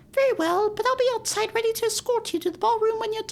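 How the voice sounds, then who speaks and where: A man's put-on character voice, extremely high-pitched and very fast. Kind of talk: polite, formal. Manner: sad, deferential.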